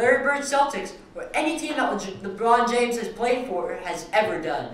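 Audible room echo and light background noise accompany a man with a high pitch. He talks at a moderate pace with ordinary pitch variation. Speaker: sports broadcaster. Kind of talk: sports rant and anchoring segment. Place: studio.

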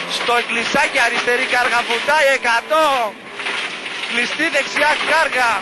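Against loud background noise, a man speaks with long, frequent pauses in a dry sound with no echo. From Greece. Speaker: rally co-driver reading pace notes. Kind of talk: rally co-driver pace notes, rapid-fire call-outs of corners and distances. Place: car. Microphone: helmet.

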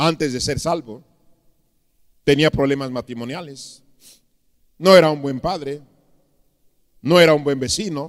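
A man speaks at a fairly slow pace with long, frequent pauses. His pitch variation is ordinary, and the background is quiet. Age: 50s. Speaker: pastor. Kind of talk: sermon. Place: church. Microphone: handheld.

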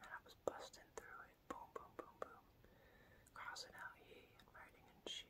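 A moderate-paced whisper from a woman. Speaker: vlogger. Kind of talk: whispered ASMR talk to camera about religion and prayer. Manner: whispered, soft. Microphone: phone near.

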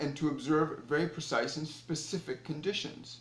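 Audible room echo surrounds a man speaking at a moderate pace. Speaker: spiritual teacher. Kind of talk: spiritual talk to viewers. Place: home room. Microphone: phone near.

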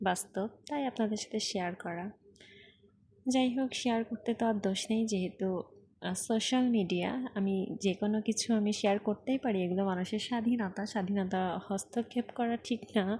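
Fairly high in pitch yet dark and mellow in tone, a woman's somewhat breathy voice keeps a fairly even intonation. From Bangladesh, Khulna. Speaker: vlogger. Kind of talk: casual vlog monologue. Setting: outdoors on a rickshaw in the rain.

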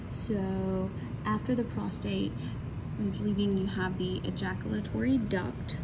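Loud background noise fills the recording. A woman talks at a moderate pace. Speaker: college science instructor. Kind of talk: anatomy lab walkthrough. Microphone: phone near.

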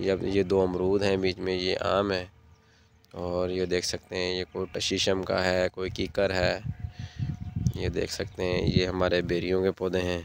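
A man speaks at a fairly slow pace in a very deep, low voice with flat, monotone intonation, the sound dry with no echo over light background noise. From Sindh, Pakistan (Punjabi family). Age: 30s. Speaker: farmer. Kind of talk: farm tour vlog. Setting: outdoors. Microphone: phone near.

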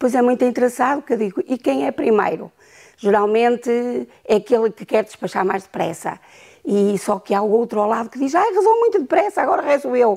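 Over a quiet background, a woman with a fairly high pitch and a dark, mellow tone talks at a moderate pace. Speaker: grandmother and teacher; teacher. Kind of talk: interview testimony. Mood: warm, reflective. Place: home room. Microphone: lapel.

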